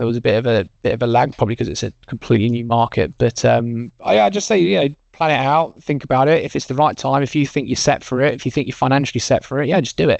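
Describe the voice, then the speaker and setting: Speaking fairly quickly, a man with an English accent uses a medium pitch and ordinary pitch variation. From English Midlands. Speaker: recruitment business co-founder. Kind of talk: casual interview chat.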